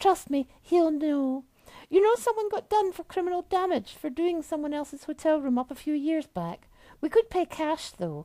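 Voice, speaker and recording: A squeaky, high-pitched put-on character voice. It moves along at a moderate pace. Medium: read story. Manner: teasing, flirty.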